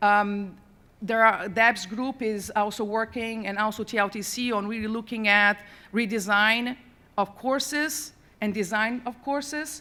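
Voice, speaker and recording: A woman speaks with a non-native accent at a fairly slow pace. Her tone is bright and sharp. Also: fairly high pitch for a woman, ordinary pitch variation. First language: not English. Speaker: university accessibility administrator on a conference panel. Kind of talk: panel presentation.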